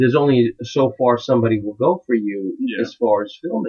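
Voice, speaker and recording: A man speaks at a medium pitch and a fairly quick pace with ordinary pitch variation. He has a plain, everyday voice. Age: 40s. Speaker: filmmaker and musician. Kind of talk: casual chat. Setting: home studio.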